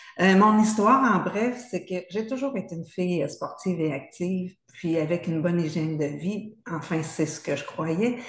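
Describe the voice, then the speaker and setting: A woman speaks at a moderate pace with hardly any pauses, in an unremarkable speaking voice. Her pitch is medium, with ordinary variation. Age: 60s. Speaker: patient. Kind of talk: testimony.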